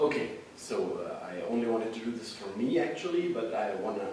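In a non-native accent, a man talks at a fairly quick pace amid strong room echo and light background noise. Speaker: hobby filmmaker. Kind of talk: casual talk to camera, microphone test. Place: classroom. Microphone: camera far.

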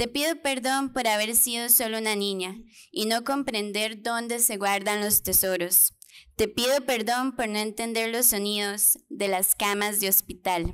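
Over a quiet background, a woman talks at a fairly slow pace with ordinary pitch variation. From Costa Rica, Pérez Zeledón, rural; Costa Rica. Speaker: poet. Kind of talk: poetry reading. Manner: tender, nostalgic, measured. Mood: tender, nostalgic, solemn. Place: hall.

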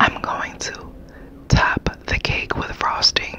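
A woman whispers her words at a very slow pace. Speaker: cake decorator. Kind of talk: ASMR baking talk. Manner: whispered. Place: home room.

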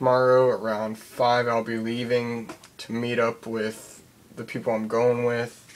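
A man speaks quietly at a fairly slow pace. His intonation is monotone and flat. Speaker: vlogger. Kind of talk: casual vlog update. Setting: at home at night. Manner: quiet, hushed; hesitant, filler words. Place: home room. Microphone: webcam.

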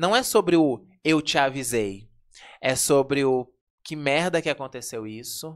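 Against a quiet background, the words come out at a fairly slow pace. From Brazil. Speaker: podcast host. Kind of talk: casual chat. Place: studio. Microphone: studio mic.

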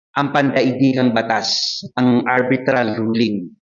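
Audible room echo surrounds a man speaking at a slow pace.

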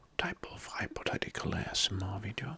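Fairly slow whispering from a man. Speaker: ASMR creator. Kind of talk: soft-spoken ASMR talk on general knowledge. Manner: soft-spoken ASMR voice, close to mic. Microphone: studio mic.

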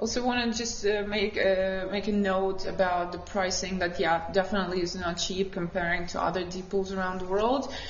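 A woman at a medium pitch with fairly even intonation and hardly any pauses, amid audible room echo and light background noise. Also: moderate pace. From Ukraine. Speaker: freediving athlete and instructor; podcast guest. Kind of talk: interview. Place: studio.

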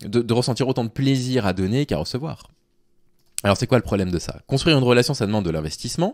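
Very fast speech against a quiet background. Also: man. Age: 30s. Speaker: YouTuber and Twitch streamer commenting on dating advice; YouTuber, Twitch streamer commenting on dating advice. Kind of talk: live stream commentary reading and critiquing a forum post. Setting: live on Twitch. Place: home room. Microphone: studio mic.

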